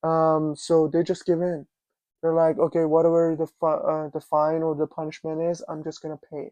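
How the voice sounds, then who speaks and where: At a moderate pace, the speaker talks with a non-native accent. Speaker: immigrant commentator. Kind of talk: casual talk to camera.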